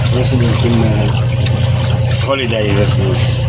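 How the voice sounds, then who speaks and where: Music plays in the background as a man talks at a very slow pace. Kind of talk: casual vlog chat. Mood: relaxed, calm. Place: boat. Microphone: camera far.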